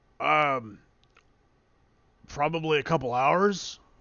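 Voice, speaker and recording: A man puts on a character voice. It is fairly high in pitch and moves at a fairly slow pace. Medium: actual play. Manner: folksy, hesitant.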